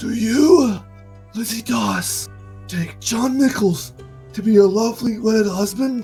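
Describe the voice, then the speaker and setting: Over clear background music, a man puts on a character voice, pitched high and delivered at a fairly slow pace with long, frequent pauses. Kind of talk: formal, ceremonial.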